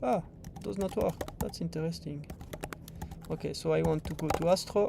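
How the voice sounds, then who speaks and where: Noticeable background noise sits under a voice that keeps a moderate pace. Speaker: software developer presenting livestream tutorial. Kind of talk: livestream tutorial. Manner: casual, hesitant with fillers.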